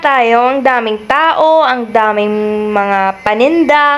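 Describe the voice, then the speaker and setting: Lively intonation marks this woman's voice. She speaks at a high pitch. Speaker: vlogger. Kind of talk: travel vlog narration. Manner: casual, chatty.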